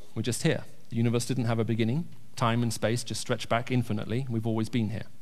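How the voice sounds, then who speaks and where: Very fast speech from a man at a medium pitch, audible room echo around it. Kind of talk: church talk with Q&A. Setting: church.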